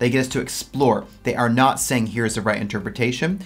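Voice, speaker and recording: With faint music in the background, a man speaks with fairly even intonation. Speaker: exam tutor. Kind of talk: tutorial.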